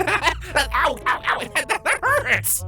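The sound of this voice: In a put-on character voice, a woman speaks at an extremely high pitch and a very slow pace, her tone bright and sharp with big pitch swings, while faint music plays in the background.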